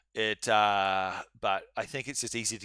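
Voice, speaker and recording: The man speaks in a bright, sharp tone. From New Zealand. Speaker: university law lecturer. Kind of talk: live online lecture. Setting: live-streamed online seminar. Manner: casual, halting with many fillers.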